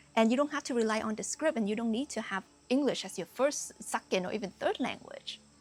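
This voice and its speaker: Talking at a very fast pace, a woman with a slight non-native accent uses a fairly high pitch and ordinary pitch variation. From Canada, Vietnamese-born immigrant. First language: Vietnamese. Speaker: spiritual coach. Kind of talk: motivational talk to camera. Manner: casual with many fillers.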